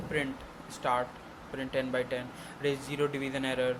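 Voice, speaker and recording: At a fairly slow pace, a man with an Indian accent speaks at a medium pitch. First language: Hindi. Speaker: programming tutor. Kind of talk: tutorial. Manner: halting.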